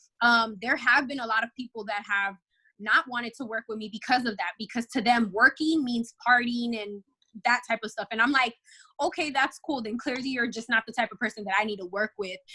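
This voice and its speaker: A woman with an American accent, fairly high pitch, and a bright, sharp, animated tone, at a fairly quick pace with ordinary pitch variation and big swings in loudness, in a dry, close recording with no echo. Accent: slight Spanish and urban LA inflection. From Los Angeles, California, Dominican family. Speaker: model and podcaster. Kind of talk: podcast interview. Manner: fast.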